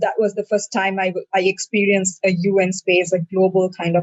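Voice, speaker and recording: A woman talking at a moderate pace. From Sri Lanka. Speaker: youth activist. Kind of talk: personal account in a dialogue.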